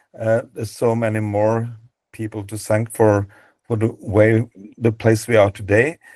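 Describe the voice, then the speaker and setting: Against a quiet background, a man with a non-native accent speaks at a moderate pace, medium in pitch and flat in intonation. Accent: non-native, mispronunciations. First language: Norwegian. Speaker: database co-founder, dog breed presenter. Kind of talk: webinar presentation. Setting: video call webinar. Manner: halting, many fillers and repeats.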